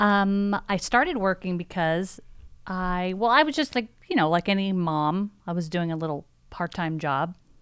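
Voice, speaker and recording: The speaker has a plain, everyday voice with lively intonation and a moderate pace. The recording is very clean, with a silent background. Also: woman, medium pitch for a woman. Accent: American. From New Jersey. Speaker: employee, pastor's wife. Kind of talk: casual chat.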